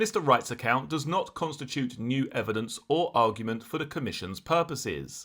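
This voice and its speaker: With a normal speaking voice, a man at medium pitch talks at a moderate pace with lively intonation and hardly any pauses, on a very clean recording with a silent background. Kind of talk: true crime narration.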